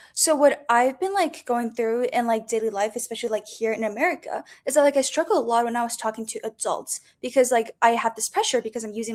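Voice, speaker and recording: A woman with a non-native accent and a high pitch talks at a fairly quick pace with ordinary pitch variation, in a very clean recording with a silent background. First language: not English. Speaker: student. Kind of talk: podcast interview.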